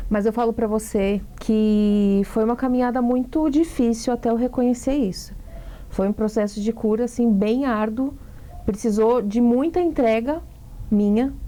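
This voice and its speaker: At a fairly slow pace, a woman speaks in a normal speaking voice with a fairly high pitch, ordinary pitch variation and very even loudness. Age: 30s. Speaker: actress and singer. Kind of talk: interview.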